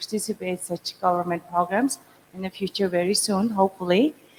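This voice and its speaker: Noticeable background noise accompanies a woman speaking at medium pitch with fairly even intonation. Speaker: entrepreneur. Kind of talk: panel discussion. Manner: halting.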